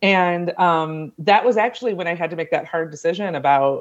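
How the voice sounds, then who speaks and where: In an American accent, a woman with a fairly low pitch and ordinary pitch variation speaks at a moderate pace against a quiet background. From US Midwest (Ohio). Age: 40s. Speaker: creative life and leadership coach. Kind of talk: casual interview chat.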